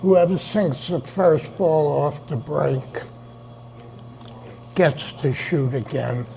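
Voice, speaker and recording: Over noticeable background noise, a man speaks very slowly in a New York accent, with long, frequent pauses. His pitch is fairly high and varies in an ordinary way. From New York City, the Bronx. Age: 80s+. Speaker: billiards club president. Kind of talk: interview.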